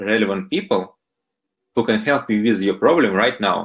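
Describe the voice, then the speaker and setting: The speech carries a strong Russian accent. Its intonation is lively. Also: man. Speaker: startup founder. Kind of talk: interview. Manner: hesitant with fillers.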